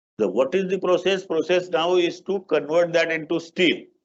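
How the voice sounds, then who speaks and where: A man's high-pitched voice with an Indian accent. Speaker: guest lecturer. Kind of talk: lecture.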